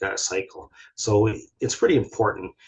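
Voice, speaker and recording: A man with a Canadian accent talks at a medium pitch in a somewhat breathy voice. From southern Ontario, Canada. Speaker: research scientist, hydrologist. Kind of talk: webinar presentation. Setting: video call. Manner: fast; hesitant, many fillers and restarts.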